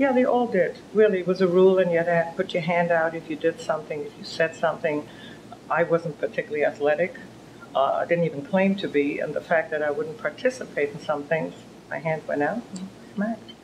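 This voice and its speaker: This woman, with a German accent, talks at a fairly quick pace in a fairly low pitch, her intonation lively. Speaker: author and philanthropist. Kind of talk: interview.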